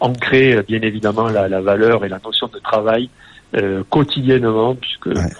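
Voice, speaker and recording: Speaking slowly, a man uses an unremarkable speaking voice at a medium pitch with fairly even intonation. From southern France, Nîmes. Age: 40s. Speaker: entrepreneur and handball club president. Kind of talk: radio interview.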